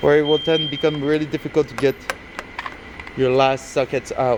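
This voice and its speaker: Over noticeable background noise, a man with a French Canadian accent speaks at a moderate pace in a fairly high, monotone, flat voice. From Quebec. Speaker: aircraft mechanic. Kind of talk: tutorial. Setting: workshop. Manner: halting.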